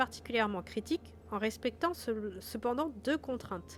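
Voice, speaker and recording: A woman at a moderate pace, with a southern French accent. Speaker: game master and streamer. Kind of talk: reading aloud rules of a gamebook on a live stream. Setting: live stream with background music.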